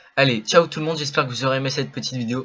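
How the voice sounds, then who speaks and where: A man is speaking here. His pitch is medium, with ordinary pitch variation. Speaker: gaming youtuber. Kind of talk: channel update talk. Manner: fast.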